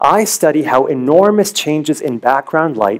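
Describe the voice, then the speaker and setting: Against a quiet background, the words come at a fairly slow pace. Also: man. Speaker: presenter. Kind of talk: competition research talk. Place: stage. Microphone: headset.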